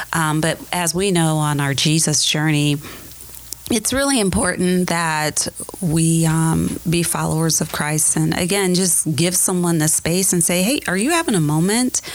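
Noticeable background noise surrounds a woman with an American accent. She speaks at a fairly slow pace with a fairly low pitch. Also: ordinary pitch variation. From US Midwest, Ohio (Akron area). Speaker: church member, HR professional. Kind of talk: casual chat. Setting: church.

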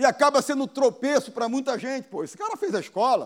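A man talks very fast in an extremely high, animated voice with lively intonation. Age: 40s. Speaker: pastor. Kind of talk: sermon.

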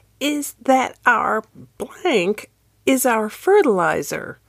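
Using a put-on character voice, a woman speaks very slowly in a high, shaky voice with very wide pitch swings.

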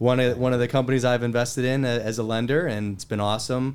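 A man with an American accent speaks in a normal speaking voice at a medium pitch and a fairly quick pace. His pitch varies in an ordinary way, and the recording is very clean with a silent background. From western Pennsylvania, near Pittsburgh. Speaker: investor and wealth advisor. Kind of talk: casual interview.

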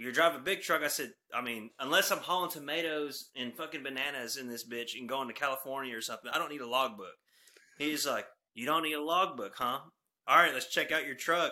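In a Texan accent, a bright, sharp voice moves at a fairly quick pace with ordinary pitch variation and big swings in loudness, recorded very cleanly against a silent background. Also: man, fairly high pitch for a man. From North Texas. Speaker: truck company owner's son and trucker. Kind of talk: casual chat. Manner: animated.

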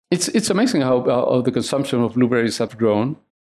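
A man talks at medium pitch with vocal fry. The recording is very clean, with a silent background. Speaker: agricultural trade association executive. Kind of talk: interview. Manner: halting, many repetitions and fillers.

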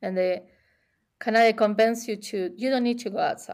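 Speaking at a fairly quick pace, a woman with an Argentine accent uses a fairly high pitch. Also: very clean recording, silent background. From Buenos Aires, Argentina. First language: Spanish. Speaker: chef and gelato shop owner. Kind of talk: casual interview.

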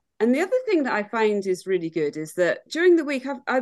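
A woman with a British accent speaks high, her pitch making very wide swings against a quiet background. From UK. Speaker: hiker and long-term expat. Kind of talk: casual interview chat.

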